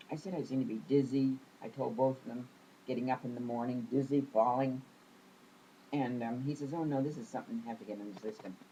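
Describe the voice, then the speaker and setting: A woman speaks very fast in a very deep, low pitch with a dark, mellow tone. Her speech has long, frequent pauses and ordinary pitch variation. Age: 80s+. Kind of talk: interview answer.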